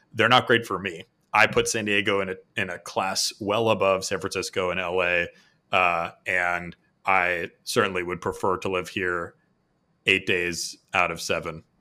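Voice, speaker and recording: A bright, sharp tone with an American accent and fairly even intonation on a very clean recording with a silent background. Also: man, very deep, low pitch for a man, moderate pace. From Boston, US. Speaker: operations consultant, former tech executive. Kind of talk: interview.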